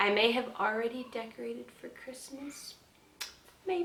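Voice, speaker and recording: A woman's voice sits amid noticeable background noise. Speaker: vlogger. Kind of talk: casual vlog update.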